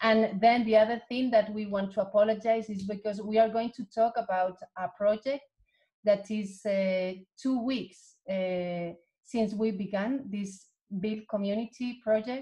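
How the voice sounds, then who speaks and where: The voice has a dark, mellow tone and a Spanish accent, sounding somewhat breathy with fairly even intonation. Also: woman, fairly high pitch for a woman. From Spain. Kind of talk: online seminar presentation. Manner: halting.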